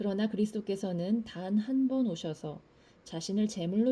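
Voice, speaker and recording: A dark, mellow tone, somewhat breathy, with ordinary pitch variation and a fairly slow pace. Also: woman. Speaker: scripture reader. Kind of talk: reading aloud.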